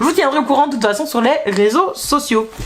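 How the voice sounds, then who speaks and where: Lively in intonation, a woman speaks over noticeable background noise. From Belgium. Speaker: book vlogger. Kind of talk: casual vlog chat. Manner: hesitant, many fillers.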